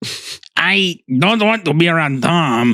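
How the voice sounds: A put-on character voice sits at a middle pitch.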